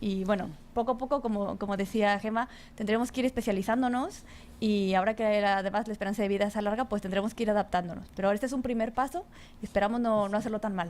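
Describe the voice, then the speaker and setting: A woman with a plain, everyday voice talks at a fairly quick pace, fairly high in pitch with ordinary pitch variation. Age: 30s. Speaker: psychologist, moderator. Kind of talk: panel discussion.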